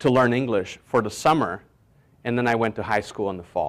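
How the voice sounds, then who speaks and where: A man at a medium pitch with ordinary pitch variation, on a very clean recording with a silent background. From Brazil, moved to New York City at 14. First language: Portuguese. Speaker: business mentor. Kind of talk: motivational talk. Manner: conversational.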